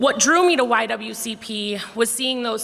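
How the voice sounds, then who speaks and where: The woman's voice has a fairly high pitch. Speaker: foundation board chair. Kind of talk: prepared speech at awards breakfast. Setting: ballroom stage with audience.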